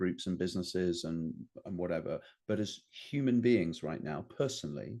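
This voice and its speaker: Over a quiet background, a man with a British accent speaks with lively intonation. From Britain. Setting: stage. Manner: hesitant, many filler words.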